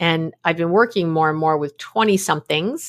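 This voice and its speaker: In a very clean recording with a silent background, a woman with an American accent speaks at a moderate pace in an ordinary speaking voice. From New York City. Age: 50s. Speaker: psychologist. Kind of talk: casual interview.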